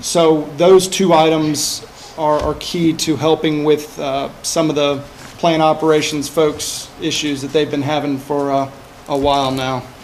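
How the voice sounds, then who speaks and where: A fairly slow, flat, monotone delivery. Light background noise sits underneath. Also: man, fairly high pitch for a man. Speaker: energy services project manager; presenter. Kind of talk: business presentation. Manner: hesitant, many fillers. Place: meeting room. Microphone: podium.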